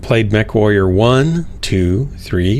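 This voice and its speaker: A man at a very slow pace with lively intonation, amid audible room echo and noticeable background noise. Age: 60s. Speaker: gaming livestreamer. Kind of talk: casual chat.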